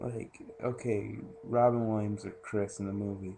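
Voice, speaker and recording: A man speaks quietly at a medium pitch. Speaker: movie reviewer vlogger. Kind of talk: casual movie review. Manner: quiet, hushed.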